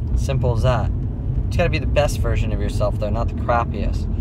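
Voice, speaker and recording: Over loud background noise, a man speaks with a dry sound that has no echo. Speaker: vlogger, fitness coach. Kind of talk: casual vlog chat. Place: car. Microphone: phone near.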